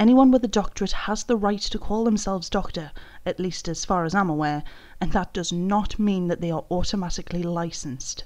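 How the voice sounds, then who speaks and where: A woman with a British accent talks at a fairly quick pace, her pitch medium with ordinary variation, over a quiet background. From Britain. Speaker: YouTube commentary creator. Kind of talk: commentary video.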